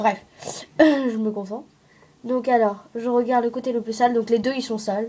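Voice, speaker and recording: A woman speaks with monotone, flat intonation. She leaves long, frequent pauses. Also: moderate pace. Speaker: craft tutorial maker. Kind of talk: tutorial. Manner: hesitant, many fillers.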